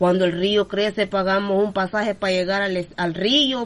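A woman speaks in a plain, everyday voice at a moderate pace, her medium pitch showing ordinary pitch variation. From southern Honduras, Gulf of Fonseca. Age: 40s. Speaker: community leader and forest ranger. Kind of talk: interview.

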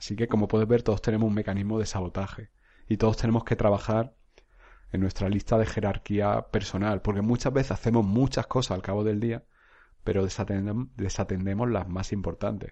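A man's monotone, flat delivery at a fairly quick pace, set against a quiet background. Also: fairly low pitch for a man. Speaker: psychologist and podcast host. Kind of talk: solo monologue, self-help talk. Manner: halting, repeats words.

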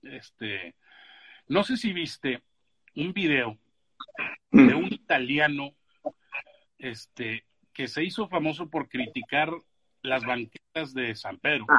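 At a very slow pace, with long, frequent pauses, a man's fairly high voice makes very wide pitch swings in a dry, close sound with no echo. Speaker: podcast host, screenwriter. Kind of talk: casual chat. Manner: animated.

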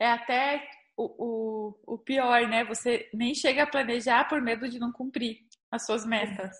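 Fairly slow and high-pitched, a woman speaks with fairly even intonation. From Curitiba, Brazil. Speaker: podcast host. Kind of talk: podcast interview.

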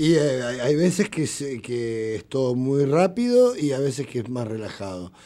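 A man speaks at a fairly slow pace with a dark, mellow tone. His voice sits at a medium pitch and his intonation is lively. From Argentina, Buenos Aires southern suburbs. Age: 50s. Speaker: rock musician. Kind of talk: casual interview.

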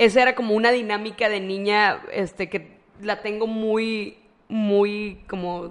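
A woman speaks at a very slow pace in a fairly high pitch. Her intonation is monotone and flat. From Matamoros, Tamaulipas, Mexico. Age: 30s. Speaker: psychologist and teacher. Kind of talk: casual interview chat. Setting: in person at her clinic.

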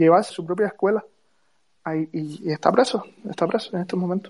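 Her voice sits at a medium pitch with a dark, mellow tone, and this woman shows ordinary pitch variation. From Cuba. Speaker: Cuban activist. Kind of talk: live audio space discussion.

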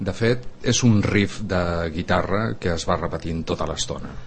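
There is noticeable background noise as a man speaks at a fairly slow pace. His fairly low voice carries lively intonation. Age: 50s. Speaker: musician. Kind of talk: casual chat.

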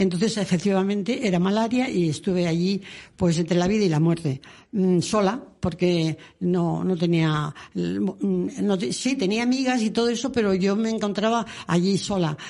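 Against a quiet background, a woman with a dark, mellow tone and medium pitch speaks at a moderate pace with lively intonation and very even loudness. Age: 80s+. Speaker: former nun and author. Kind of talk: interview. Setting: radio studio.

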